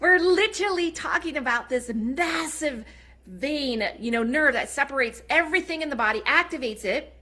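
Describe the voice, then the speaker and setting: A woman's raised, projected voice, bright and sharp in tone, animated, with very wide pitch swings and a fairly quick pace. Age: 40s. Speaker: network marketing seller. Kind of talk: sales pitch. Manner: fast.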